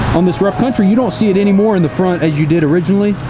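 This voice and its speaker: Over background music and audible room echo, a man talks very fast at a high pitch with ordinary pitch variation. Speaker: truck shop owner. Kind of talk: vlog walkaround. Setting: outdoors. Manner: casual.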